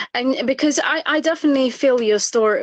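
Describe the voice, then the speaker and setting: A woman speaks with an Eritrean accent. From East Africa, moved to UK at seven. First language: Tigrinya. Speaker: interviewer. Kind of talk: interview. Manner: halting.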